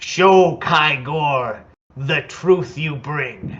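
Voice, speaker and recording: A man performs a put-on character voice at a fairly high pitch. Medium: actual play. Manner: formal, speaks of himself in third person.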